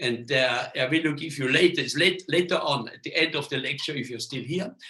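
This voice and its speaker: A man with a fairly high pitch and a fairly quick pace, big swings in loudness, and noticeable background noise. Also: ordinary pitch variation. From Austria. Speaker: magician. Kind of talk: lecture. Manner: halting.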